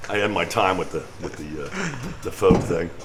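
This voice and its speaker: Lively intonation from a male speaker, with noticeable background noise and audible room echo. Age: 70s. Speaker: musician. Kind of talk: casual chat. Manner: halting.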